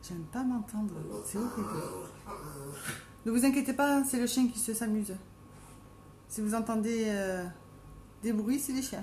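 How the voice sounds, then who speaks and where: With a Marseille accent, the speaker goes at a fairly slow pace with long, frequent pauses over noticeable background noise. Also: woman, fairly high pitch for a woman, ordinary pitch variation. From southern France, Marseille. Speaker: makeup live streamer. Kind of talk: live stream casual chat with makeup tutorial. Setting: at home, live video stream.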